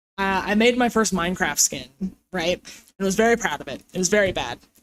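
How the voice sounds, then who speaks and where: A woman with medium pitch, a moderate pace, ordinary pitch variation and an ordinary speaking voice. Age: 20s. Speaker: streamer. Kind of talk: casual chat. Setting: live stream.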